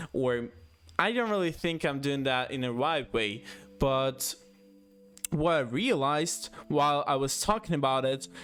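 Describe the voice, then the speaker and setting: Music plays in the background as a man speaks in a fairly high voice. His intonation is lively, broken by long, frequent pauses. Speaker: YouTuber. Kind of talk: casual monologue. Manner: halting, many pauses.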